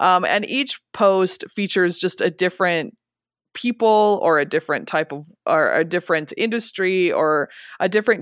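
A woman with an American accent has an unremarkable speaking voice at medium pitch. She talks at a moderate pace with ordinary pitch variation, in a dry, close sound with no echo. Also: quiet background. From rural Colorado. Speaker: history instructor and public historian. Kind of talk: interview.

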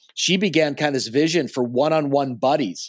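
An ordinary speaking voice with an American accent moves at a fairly quick pace in a very clean recording with a silent background. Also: man. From US Northeast, New Jersey. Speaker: pastor. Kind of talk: interview.

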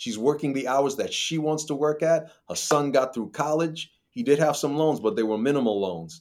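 With an unremarkable speaking voice, a man talks at a moderate pace and fairly high pitch, with ordinary pitch variation and hardly any pauses. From New York. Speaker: financial advisor. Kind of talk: interview.

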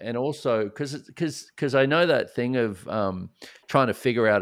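An Australian-accented man speaks at a medium pitch. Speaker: speaker and author on addiction recovery. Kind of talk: podcast interview.

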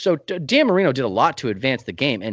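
A plain, everyday voice belongs to a man speaking at a fairly quick pace. His intonation is lively, and the background is quiet. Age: 30s. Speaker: sports podcaster. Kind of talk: casual chat.

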